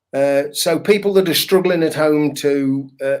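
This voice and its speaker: A man speaks with a northern English accent in a fairly high voice. His pace is fairly slow. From northern England. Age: 60s. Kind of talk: interview. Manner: hesitant, with fillers.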